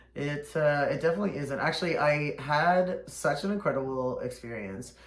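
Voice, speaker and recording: A man with a fairly high voice speaks against noticeable background noise, with audible echo in the room. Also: ordinary pitch variation, moderate pace. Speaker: drag performer hosting makeup show. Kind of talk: casual chat.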